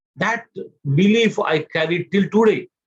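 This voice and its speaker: A man speaks with an Indian accent at a high pitch. His pace is moderate. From India, Mumbai. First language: Gujarati. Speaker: motivational speaker. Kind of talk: speech to an audience. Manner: halting.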